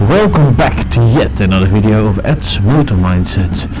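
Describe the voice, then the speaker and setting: A man's fairly slow speech comes with audible room echo and noticeable background noise. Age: 30s. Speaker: motorcycle vlogger. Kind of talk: casual ride commentary. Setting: outdoors on a motorcycle.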